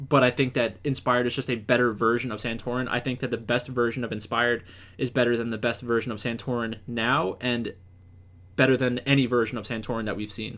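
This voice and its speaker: On a very clean recording with a silent background, a man talks at a medium pitch and a fairly quick pace. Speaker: esports analyst. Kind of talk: solo commentary video. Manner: authoritative; halting, many fillers.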